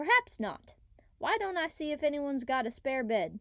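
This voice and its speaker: This is a put-on character voice with a drawling delivery. It moves at a moderate pace. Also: woman, high pitch for a woman. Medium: machinima. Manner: drawling, folksy.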